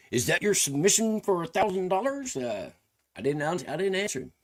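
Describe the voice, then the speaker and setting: With a Southern US accent, a man speaks with very wide pitch swings. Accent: country Southern. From Tennessee, US South. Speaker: country rapper and streamer. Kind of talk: casual livestream commentary.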